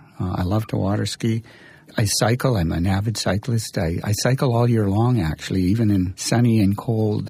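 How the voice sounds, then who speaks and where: An unremarkable speaking voice with fairly even intonation moves at a moderate pace. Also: man. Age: 60s. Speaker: exercise physiology professor and researcher. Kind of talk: interview.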